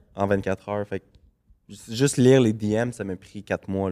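Speaking fairly slowly, a man with a Quebec accent has a dark, mellow tone. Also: dry, close sound with no echo, very clean recording, silent background. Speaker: celebrity gossip page creator. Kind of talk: casual chat.

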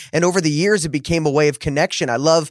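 At a very fast pace and in an animated tone, a man with a fairly high pitch speaks on a very clean recording with a silent background and a dry, close sound with no echo. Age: 30s. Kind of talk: casual interview chat.

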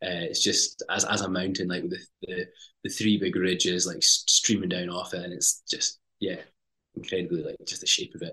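In a Highland Scottish accent, a man speaks at a moderate pace. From Scottish Highlands (Lochalsh). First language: Scottish Gaelic. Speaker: TV presenter and climber. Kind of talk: casual interview chat.

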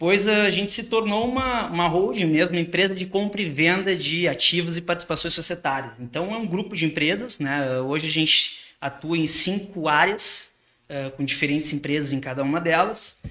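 Here a man talks at a high pitch with ordinary pitch variation. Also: moderate pace. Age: 30s. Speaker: businessman. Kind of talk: casual chat.

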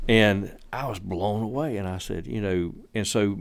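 This man speaks with a Southern US accent. His pitch is fairly low. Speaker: landscaper and church member. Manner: reflective, sincere, wandering, hesitant with fillers.

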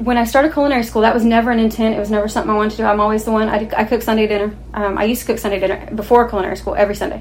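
A woman races along at a very fast pace in a fairly high pitch, with fairly even intonation and hardly any pauses. Noticeable background noise and audible room echo surround her voice. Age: 40s. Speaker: non-profit youth outreach facilitator. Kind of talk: interview. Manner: halting.

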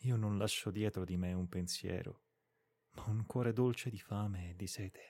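The voice has a dark, mellow tone and a solemn tone, with fairly even intonation. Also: man, fairly low pitch for a man. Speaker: podcast reader of literary classics. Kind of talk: audiobook-style literary reading aloud, solemn and lyrical. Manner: slow, measured, solemn and expressive, with a melancholic tone; formal, poetic cadence with deliberate pauses.

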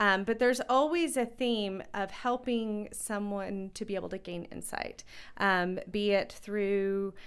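Over a silent background in a very clean recording, a woman talks at a fairly slow pace with a medium pitch. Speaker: counselor and music therapist.

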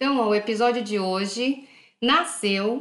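Her voice is fairly high for a woman, and she keeps to a moderate pace. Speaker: podcast host. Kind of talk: casual monologue. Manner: unscripted, conversational.

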